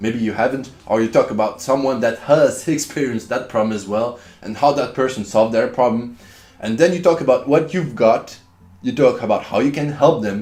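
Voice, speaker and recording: A man with a French accent speaks at a fairly quick pace in a medium pitch with ordinary pitch variation. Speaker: online business vlogger. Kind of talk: casual vlog tutorial. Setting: at home. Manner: casual, repetitive.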